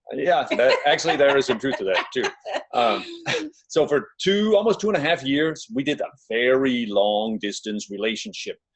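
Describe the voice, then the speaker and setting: A man talks in a Danish accent at a moderate pace. His pitch swings very widely. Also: fairly high pitch for a man. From Denmark. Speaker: relationship coach. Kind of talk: webinar presentation. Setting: living room, online webinar.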